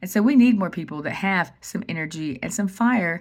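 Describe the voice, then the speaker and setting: A woman speaks at a fairly quick pace with an animated tone and lively intonation, sounding somewhat breathy. The recording is very clean, with a silent background. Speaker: vlogger. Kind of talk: casual monologue. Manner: fast.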